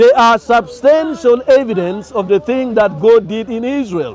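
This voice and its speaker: Lively in intonation, a man speaks at an extremely high pitch and a fairly slow pace. There is light background noise. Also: dry sound with no echo. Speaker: street debater. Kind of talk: heated debate. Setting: outdoors. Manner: animated. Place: open country. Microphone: camera far.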